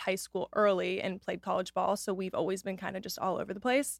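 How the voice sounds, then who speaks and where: In a very clean recording with a silent background, a woman talks very fast at a medium pitch, her voice showing vocal fry. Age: 20s. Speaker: lifestyle influencer. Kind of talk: casual chat.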